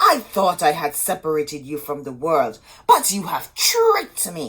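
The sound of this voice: This put-on character voice moves at a fairly slow pace. Its pitch swings very widely, and the tone is fairly bright. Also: woman, low pitch for a woman.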